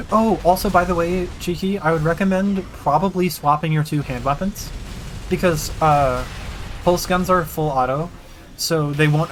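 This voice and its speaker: Music plays in the background as the speech moves at a moderate pace. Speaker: video game streamer. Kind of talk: gameplay livestream commentary. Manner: halting.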